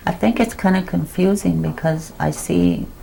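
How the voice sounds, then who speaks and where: Background noise is noticeable here. The talking goes at a moderate speed. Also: woman. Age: 60s. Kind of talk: oral history interview. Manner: halting, with frequent fillers.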